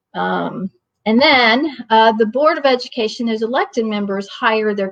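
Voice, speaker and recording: An unremarkable speaking voice from a woman with an American accent. Her pitch is fairly high with ordinary variation. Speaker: training facilitator, community parent advocate. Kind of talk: online training presentation. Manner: informal with many fillers.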